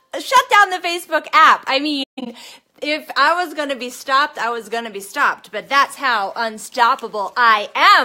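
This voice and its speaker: A raised, projected, shouting voice with a bright, sharp, energetic tone, lively intonation, big swings in loudness and a moderate pace. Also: woman, high pitch for a woman. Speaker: network marketing coach. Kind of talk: motivational live stream talk. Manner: loud, shouting; energetic, fired up.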